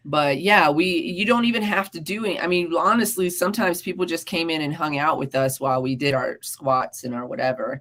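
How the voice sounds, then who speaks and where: A woman with an American accent, fairly low in pitch, her tone animated and her intonation lively, with hardly any pauses and noticeable background noise. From US South, South Carolina. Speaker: podcast co-host. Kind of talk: casual chat.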